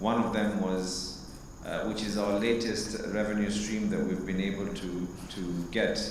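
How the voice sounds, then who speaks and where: Over noticeable background noise, a man speaks fairly slowly in a flat monotone. Audible room echo surrounds his voice. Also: fairly low pitch for a man. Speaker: county governor and politician. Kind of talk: formal speech at launch event. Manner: loud; hesitant fillers.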